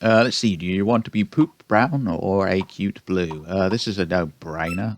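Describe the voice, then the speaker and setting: A man with a British accent speaks at a moderate pace in a fairly low pitch. The sound is dry and close, with no echo. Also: ordinary pitch variation. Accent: British accent, self-described. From Britain. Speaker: gaming YouTuber. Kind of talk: let's play commentary, reading game dialogue aloud. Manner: casual, self-deprecating.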